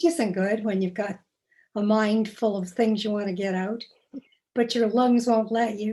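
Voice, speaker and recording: This woman talks at a moderate pace in a fairly high pitch, her dark, mellow tone somewhat breathy and her intonation fairly even. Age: old. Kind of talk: interview. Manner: paced, pausing for breath.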